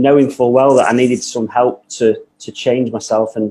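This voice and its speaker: Speaking with a Manchester accent, a man with a medium pitch and a dark, mellow tone keeps a moderate pace in a monotone with flat intonation. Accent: Mancunian. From northern England, Manchester. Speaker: business owner, coaching client. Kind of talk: podcast interview.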